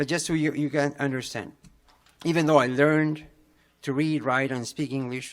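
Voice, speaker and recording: A man with a Spanish accent and a fairly high pitch, at a fairly quick pace with fairly even intonation. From Peru. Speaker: parent public commenter. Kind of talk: public comment at board meeting. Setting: school board meeting. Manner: halting, many fillers.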